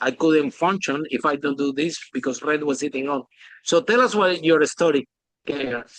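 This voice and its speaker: A man with a Spanish accent speaks at a fairly high pitch, the sound dry and close with no echo. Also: ordinary pitch variation, moderate pace. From Spain. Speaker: podcast host. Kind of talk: interview.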